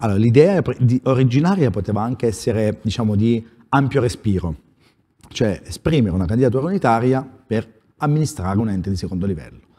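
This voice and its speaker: A man with a dark, mellow tone talks very fast with lively intonation. He leaves long, frequent pauses. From Abruzzo. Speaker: newly elected provincial president, small-town mayor; small-town mayor. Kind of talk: political talk show interview. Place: studio. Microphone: lapel.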